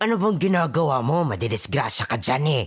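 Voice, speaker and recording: A man's raspy, put-on character voice at a very fast pace. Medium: audio drama. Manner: scolding.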